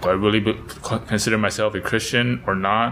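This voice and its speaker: Noticeable background noise surrounds a man with an American accent. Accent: American English, Taiwanese background. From Taipei, Taiwan (grew up there, American school). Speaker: missionary. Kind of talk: casual chat. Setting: church office.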